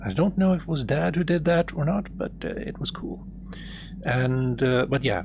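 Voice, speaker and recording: The speaker uses a calm tone and a moderate pace. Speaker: gaming streamer. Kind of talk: gameplay stream commentary.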